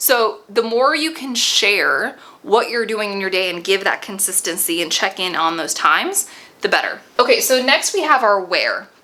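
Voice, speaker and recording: A woman speaks in a plain, everyday voice at a fairly high pitch. Her pace is moderate and her intonation lively. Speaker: business consultant. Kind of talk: tutorial.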